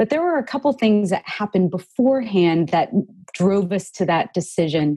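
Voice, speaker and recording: A woman's medium-pitched, dark, mellow voice with an American accent, lively intonation, very even loudness and a moderate pace. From Texas. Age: 30s. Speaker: author and full-time RV traveler. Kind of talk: interview.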